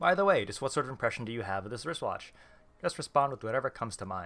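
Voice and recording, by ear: Someone reads the passage aloud in a natural voice.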